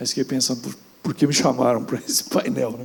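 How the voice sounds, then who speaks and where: Vocal fry runs through this man's dark, mellow tone. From rural Brazil. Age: 60s. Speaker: businessman, panelist. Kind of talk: panel discussion. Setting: stage with audience.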